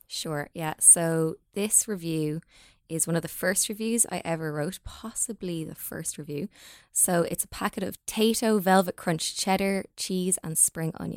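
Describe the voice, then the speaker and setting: Speaking with an Irish accent, a woman uses a fairly low pitch, ordinary pitch variation and a fairly slow pace, on a very clean recording with a silent background and a dry, close sound with no echo. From Ireland. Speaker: food blogger. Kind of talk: casual chat.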